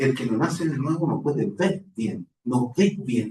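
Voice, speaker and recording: Speaking with a strong Chilean accent, a man talks at a fairly slow pace in a somewhat breathy voice with lively intonation. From Chile, Santiago. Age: old. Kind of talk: spiritual talk.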